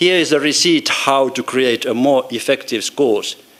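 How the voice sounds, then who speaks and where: In a Finnish accent, a man talks at a medium pitch with ordinary pitch variation. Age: 60s. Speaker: professor emeritus of education. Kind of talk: conference talk. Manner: halting.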